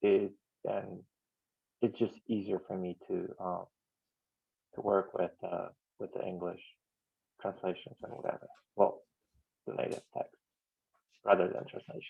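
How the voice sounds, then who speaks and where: A man speaks at a moderate pace. He leaves long, frequent pauses. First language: not English. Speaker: software maintainer. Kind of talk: online team meeting.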